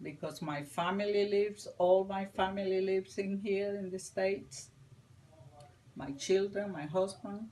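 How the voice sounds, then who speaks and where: In a strong Spanish accent, a woman with medium pitch and a dark, mellow tone speaks at a fairly slow pace with ordinary pitch variation. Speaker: interviewee. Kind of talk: interview.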